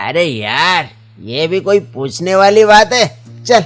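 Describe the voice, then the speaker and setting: A man performs a cartoonish character voice at a high pitch with very wide pitch swings. He keeps a moderate pace as faint music plays in the background. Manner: casual, slangy.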